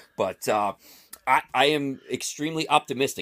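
Over a silent background in a very clean recording, a man talks in an animated tone that is bright and sharp. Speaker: guest, Raiders superfan. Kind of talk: casual sports chat. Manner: excitable, animated.

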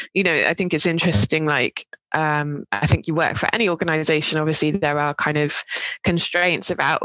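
A woman with a southern English accent, fairly low pitch, fairly even intonation and a fairly quick pace. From southern England (Dorset, Cambridge). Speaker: university lecturer. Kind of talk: interview.

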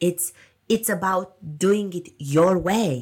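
A woman's somewhat breathy voice at medium pitch with ordinary pitch variation, in a very clean recording with a silent background. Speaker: podcast host and marketing consultant. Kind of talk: solo podcast monologue.

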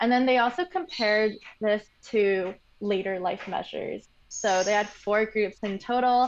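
In a normal speaking voice, a woman talks at a moderate speed. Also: fairly high pitch for a woman, ordinary pitch variation. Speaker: medical genetics graduate. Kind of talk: interview explaining science.

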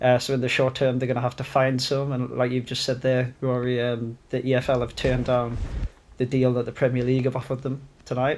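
In a northern English accent, a man speaks fairly quickly with flat, monotone intonation. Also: medium pitch for a man. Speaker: football podcast co-host. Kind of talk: casual banter chat. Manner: sweary, teasing.

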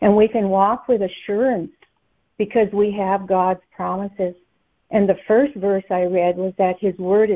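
With a normal speaking voice, a woman of medium pitch talks at a fairly slow pace and keeps her intonation fairly even. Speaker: conference call participant sharing a word. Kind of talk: scripture sharing and teaching.

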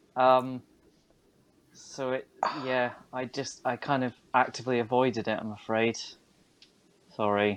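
A man talks fairly slowly in a medium pitch, his intonation monotone and flat, with long, frequent pauses. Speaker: podcast co-host. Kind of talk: casual chat.

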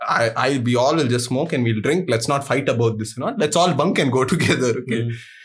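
With an Indian accent, this man speaks at a fairly high pitch over noticeable background noise. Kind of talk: casual chat. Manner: animated.

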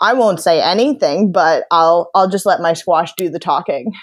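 A woman with an American accent speaks at a fairly slow pace in a plain, everyday voice with ordinary pitch variation against a quiet background. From Long Island, New York. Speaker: professional athlete. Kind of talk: interview.

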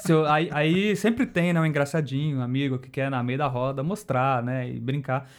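At a moderate pace and with hardly any pauses, a man speaks in a fairly high pitch with ordinary pitch variation. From Campinas, interior of São Paulo state, Brazil. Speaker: YouTuber and graphic designer. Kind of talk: casual chat.

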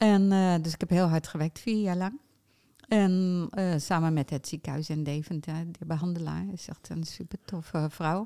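Dark, mellow and fairly low in pitch, a woman's voice moves at a moderate pace with fairly even intonation. The sound is dry and close, with no echo. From Netherlands, Utrecht. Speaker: t-shirt printer and foundation founder. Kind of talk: casual interview. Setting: podcast recording. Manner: halting, many fillers.

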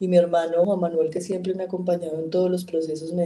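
With monotone, flat intonation, this woman talks at a fairly low pitch. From Colombia, Caldas. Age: 40s. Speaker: politician, congresswoman. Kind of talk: interview.

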